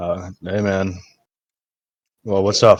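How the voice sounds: A man puts on a character voice. It booms at a fairly low pitch.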